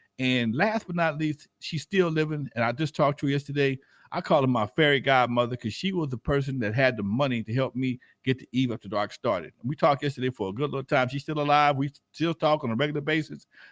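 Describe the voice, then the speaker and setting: In an American accent, a man talks at a very fast pace with a fairly high voice and ordinary pitch variation. The sound is dry and close with no echo. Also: very clean recording, silent background. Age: 60s. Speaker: nightclub owner and hip hop veteran. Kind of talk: casual chat on live stream. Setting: live stream.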